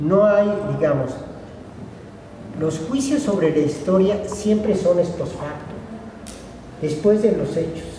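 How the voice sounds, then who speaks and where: A man's high voice, very slow with long, frequent pauses and lively intonation, plus noticeable background noise and audible room echo. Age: 60s. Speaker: academic speaker at a colloquium. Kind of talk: lecture.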